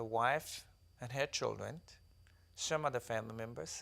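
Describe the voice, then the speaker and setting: A man in a South Sudanese accent at a moderate pace, with ordinary pitch variation. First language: Dinka. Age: 30s. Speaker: author and activist. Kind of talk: interview testimony.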